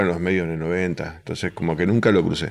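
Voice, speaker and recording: Speaking at a fairly quick pace, this man talks. His pitch is very deep and low. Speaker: comedian. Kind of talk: casual chat.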